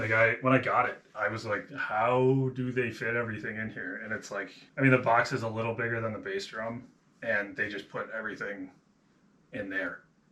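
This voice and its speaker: A man talks with a Buffalo accent. His intonation stays monotone and flat. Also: medium pitch for a man, moderate pace. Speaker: hobby drummer, vlogger. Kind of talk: casual vlog narration. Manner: casual, rambling with fillers.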